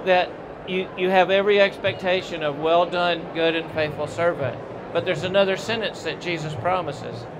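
With noticeable background noise behind him, a man speaks in a high voice at a moderate pace with fairly even intonation. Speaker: guest. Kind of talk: interview answer, preaching tone. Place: hall. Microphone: handheld.

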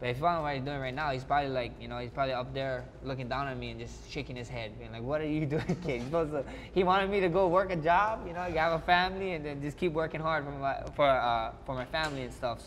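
With a Hawaiian accent, the speaker goes at a very fast pace with hardly any pauses and ordinary pitch variation over light background noise. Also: man, fairly high pitch for a man. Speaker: mixed martial arts fighter. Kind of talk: interview answer. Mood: reflective, warm, nostalgic. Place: hall. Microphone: lapel.

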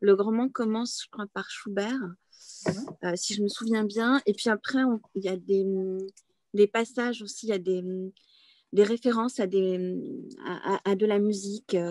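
A woman's fairly high-pitched voice with a dark, mellow tone, long, frequent pauses and a dry sound with no echo. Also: quiet background. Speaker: bookseller. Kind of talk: author interview. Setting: open bookshop. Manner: halting, many hesitations. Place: home room. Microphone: video call.

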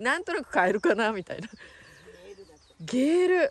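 The speaker has a Yamanashi accent, with light background noise. The sound is dry with no echo. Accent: Koshu (Yamanashi) dialect intonation. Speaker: travel vlogger. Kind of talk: interview with locals. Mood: delighted, friendly. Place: farm. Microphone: phone near.

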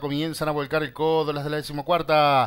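Fairly high-pitched man with monotone, flat intonation. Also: very clean recording, silent background. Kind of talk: live horse race commentary. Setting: racetrack, announcer over PA system.

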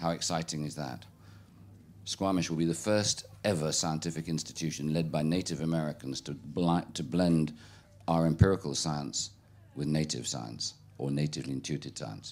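Someone with a British accent speaks at a moderate pace with ordinary pitch variation. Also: man, very deep, low pitch for a man. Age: 60s. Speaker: keynote speaker. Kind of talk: talk with audience Q&A. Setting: stage with audience. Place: tent. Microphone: handheld.

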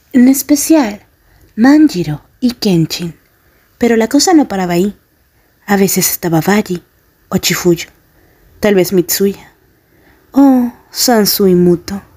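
Speaking at a very slow pace with long, frequent pauses, a woman has a somewhat breathy voice and a dark, mellow tone. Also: medium pitch for a woman, lively intonation. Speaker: ASMR roleplay fanfic narrator. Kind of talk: bedtime story telling, second-person fanfic roleplay narration. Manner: soft, slow, soothing ASMR whisper-like delivery.

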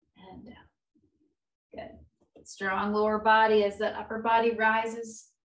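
A woman with a fairly high pitch speaks at a fairly slow pace, leaving long, frequent pauses in a calm tone and fairly even intonation. The background is quiet, though audible room echo comes through. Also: big swings in loudness. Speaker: yoga instructor. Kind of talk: live guided chair-yoga class, cueing breath and movement step by step; guided exercise instruction. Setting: video call. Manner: calm, encouraging instructor voice with rhythmic inhale/exhale cues; gentle and reassuring, repeatedly offering options and saying good. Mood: calm, encouraging. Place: home room. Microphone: webcam.

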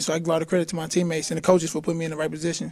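The speaker has an American accent. The intonation is monotone and flat. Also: man. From St. Louis, Missouri; Missouri. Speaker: college basketball player. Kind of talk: sit-down interview. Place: stadium. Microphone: handheld.

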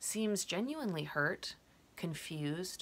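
A woman speaks with a gentle tone at a very slow pace. Her pitch is fairly low. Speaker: poet. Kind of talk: poem performed, prose poem read aloud. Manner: reflective, gentle, measured. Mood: reflective, saddened. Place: home room. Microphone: webcam.

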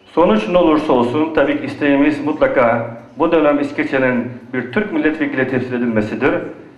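This man's voice sits fairly high and moves at a fairly quick pace, with ordinary pitch variation. His loudness stays very even over noticeable background noise. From western Thrace, Greece. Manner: formal.

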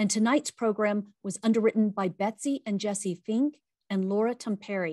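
A woman speaks at a moderate pace against a quiet background, the sound dry with no echo. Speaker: event host. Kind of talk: scripted program introduction. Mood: warm, upbeat. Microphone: webcam.

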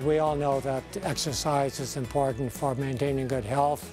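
A man speaks at a fairly high pitch, the sound dry with no echo, with clear music in the background. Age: 80s+. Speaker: retired cyclist. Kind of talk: interview answer.

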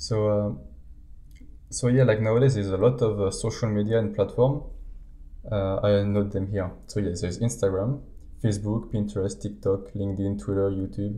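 A man mumbles at a moderate pace in a somewhat breathy, dark, mellow voice with a fairly low pitch and ordinary pitch variation. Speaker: podcast co-host, small online shop owner. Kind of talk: casual chat. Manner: hesitant, many fillers; mumbling.

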